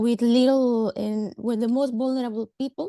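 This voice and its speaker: A woman speaks with a Spanish accent in a dark, mellow tone at a fairly high pitch. Her intonation stays fairly even, and the sound is dry and close with no echo. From Mexico. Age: 30s. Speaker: government social welfare worker. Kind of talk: webinar talk. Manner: halting, hesitant.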